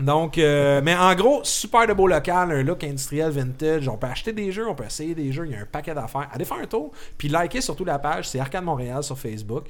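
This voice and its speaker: A man with a normal speaking voice and fairly high pitch talks at a fairly quick pace with lively intonation. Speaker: podcast host. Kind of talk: casual chat.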